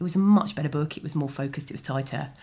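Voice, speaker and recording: A woman's very deep, low, somewhat breathy voice in a southern English accent, very fast in pace, with ordinary pitch variation. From London (Chiswick). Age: 40s. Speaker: novelist. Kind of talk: interview. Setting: library.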